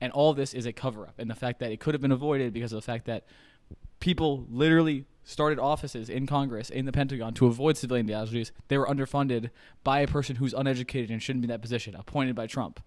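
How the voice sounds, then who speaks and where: Over a very clean recording with a silent background, a man with an American accent talks at a very fast pace. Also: medium pitch for a man. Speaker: political commentator. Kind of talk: opinion monologue. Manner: loud; animated.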